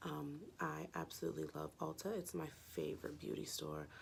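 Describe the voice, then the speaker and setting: The voice is raspy and moves at a moderate pace. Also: woman. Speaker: makeup tutorial creator. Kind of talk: casual makeup tutorial talk.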